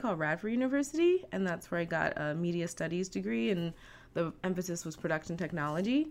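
Woman with an American accent and an unremarkable speaking voice, fairly low pitch, lively intonation, fairly quick pace. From US East Coast, Virginia Beach, Virginia. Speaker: animation studio recruiting coordinator. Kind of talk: interview.

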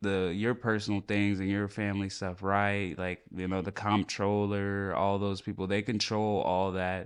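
A man's normal speaking voice, fairly low-pitched, at a moderate pace against a quiet background. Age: 20s. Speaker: podcast co-host. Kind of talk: casual chat.

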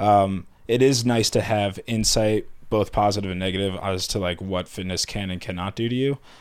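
A man with a plain, everyday voice and fairly low pitch talks at a moderate pace with fairly even intonation. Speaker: fitness coach apprentice. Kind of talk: casual chat.

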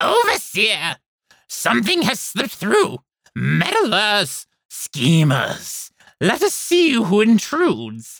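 A man's put-on character voice, high-pitched and hissing, at a very slow pace

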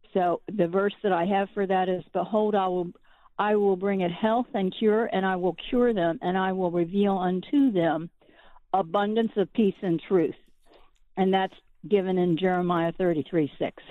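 A woman with a plain, everyday voice at medium pitch, moderate pace, fairly even intonation and very even loudness. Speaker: caller. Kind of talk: prayer requests and praise report. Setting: phone call. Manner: chatty, with fillers.

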